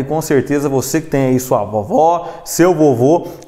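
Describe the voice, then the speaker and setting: With ordinary pitch variation, a man's speech unfolds at a moderate pace. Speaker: news presenter. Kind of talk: news presenting, casual host chat. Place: studio. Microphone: lapel.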